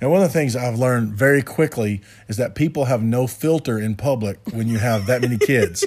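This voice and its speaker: On a very clean recording with a silent background, a man talks in a plain, everyday voice at medium pitch with ordinary pitch variation and a fairly quick pace. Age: 40s. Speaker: podcast co-host, contractor. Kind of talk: casual chat.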